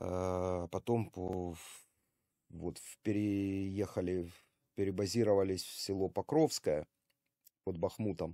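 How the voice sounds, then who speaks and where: A man with a very deep, low pitch and a dark, mellow tone, very slow pace, fairly even intonation, long, frequent pauses, dry sound with no echo and a quiet background. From Ukraine (Kharkiv); Ukraine. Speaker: army volunteer medic and video blogger; video blogger. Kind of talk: video monologue to camera. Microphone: webcam.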